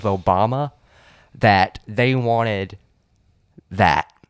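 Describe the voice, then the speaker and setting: The recording is dry and close with no echo, carrying a man's medium-pitched voice. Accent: Southern US. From South Carolina. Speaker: podcast co-host, fill-in guest. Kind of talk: casual chat.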